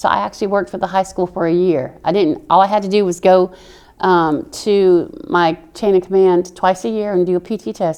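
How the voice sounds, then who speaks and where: This woman has a strong Southern US accent and a medium pitch. She talks at a fairly quick pace with ordinary pitch variation. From military brat, mainly Oklahoma. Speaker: army veteran. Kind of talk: interview. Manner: animated.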